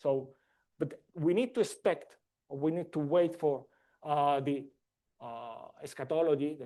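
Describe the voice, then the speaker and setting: Over a quiet background, a man's dark, mellow voice moves at a fairly slow pace. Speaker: conference speaker. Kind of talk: academic talk. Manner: hesitant.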